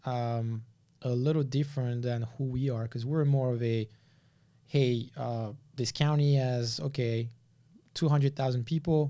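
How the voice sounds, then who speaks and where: With a French accent, a man speaks in a dark, mellow tone, his intonation fairly even and broken by long, frequent pauses, on a very clean recording with a silent background. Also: medium pitch for a man. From France. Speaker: land investor and developer. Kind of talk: casual interview.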